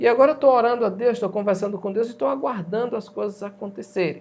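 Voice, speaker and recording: A man's high-pitched voice with lively intonation. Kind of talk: religious talk show.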